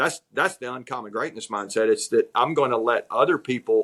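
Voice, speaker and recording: With a Southern US accent, a man speaks at a medium pitch and a fairly quick pace on a very clean recording with a silent background. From US South, North Georgia. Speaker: executive coach. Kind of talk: interview. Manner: repetitive, frequent restarts.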